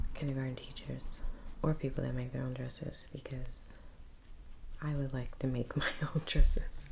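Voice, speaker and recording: A soft-spoken woman talks at a moderate pace. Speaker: painter, ASMR creator. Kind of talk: ASMR soft-spoken rambling while painting.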